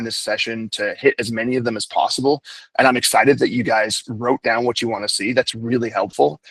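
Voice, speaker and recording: Dry and close with no echo, a man speaks at a very fast pace in a medium pitch with fairly even intonation. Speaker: software company owner. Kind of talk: product webinar presentation. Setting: video call webinar.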